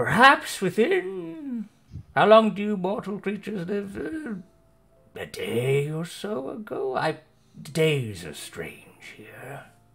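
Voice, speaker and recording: Using a put-on character voice, a man talks very slowly at a high pitch. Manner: vague, drowsy, detached.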